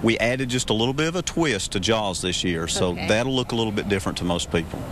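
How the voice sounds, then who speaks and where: A man's normal speaking voice, fairly low in pitch, with ordinary pitch variation, light background noise, and a dry sound with no echo. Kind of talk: interview answer. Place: open country. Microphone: handheld.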